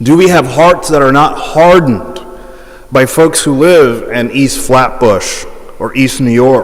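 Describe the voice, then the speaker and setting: A fairly slow delivery with ordinary pitch variation over noticeable background noise. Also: man. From Hawaii. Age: 40s. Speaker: priest and school president. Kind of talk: public talk.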